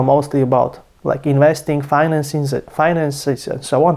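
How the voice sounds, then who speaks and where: A man with a non-native accent speaks at a fairly quick pace in a fairly high pitch, with noticeable background noise behind him. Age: 20s. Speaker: finance youtuber. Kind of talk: casual vlog talk. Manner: casual, some hesitations.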